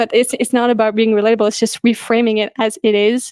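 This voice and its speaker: The voice goes at a very fast pace with monotone, flat intonation. The sound is dry and close, with no echo. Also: woman. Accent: non-native. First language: not English. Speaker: vegan activist podcast host. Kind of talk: casual conversation.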